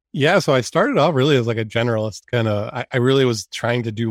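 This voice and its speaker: A man speaks at a fairly quick pace in an unremarkable speaking voice, medium in pitch with fairly even intonation. The sound is dry and close with no echo, on a very clean recording with a silent background. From US Northeast, Maine. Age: 40s. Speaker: entrepreneur, cancer patient. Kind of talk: interview.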